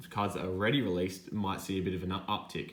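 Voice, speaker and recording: An Australian-accented man speaks with very deep, low pitch and fairly even intonation, with audible room echo. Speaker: sports card collector, YouTuber. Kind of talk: casual hobby vlog monologue.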